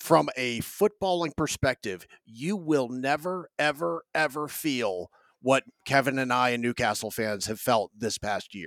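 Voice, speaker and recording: In a plain, everyday voice with an American accent, a man at medium pitch speaks at a fairly slow pace with lively intonation, the sound dry and close with no echo. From North Carolina, Raleigh. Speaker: football podcaster, guest. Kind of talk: casual chat. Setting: video call.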